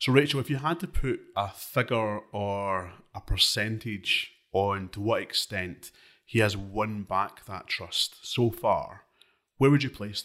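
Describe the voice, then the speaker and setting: In a Scottish accent, the speaker goes at a fairly slow pace with a bright, sharp tone, big swings in loudness and ordinary pitch variation, on a very clean recording with a silent background. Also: man, fairly low pitch for a man. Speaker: political editor and podcast host. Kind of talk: casual political discussion. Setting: studio.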